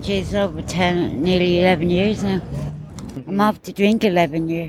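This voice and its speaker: Over noticeable background noise, the speaker talks at a fairly slow pace in a Dublin accent with fairly even intonation. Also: woman. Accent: Irish, Dublin. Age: 40s. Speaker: recently released detainee. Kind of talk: street interview.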